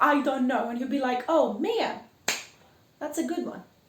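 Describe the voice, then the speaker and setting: Speaking at a fairly slow pace with a Greek accent, a woman is heard over noticeable background noise and audible room echo. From Greece. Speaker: podcast host. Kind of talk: casual monologue. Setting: house-sitting flat. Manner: animated.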